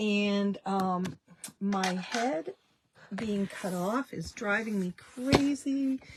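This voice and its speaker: Her pitch is medium for a woman, with ordinary variation. The woman speaks at a very slow pace. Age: 60s. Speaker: small business owner, dressmaker. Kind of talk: live stream chat. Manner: casual, halting with fillers.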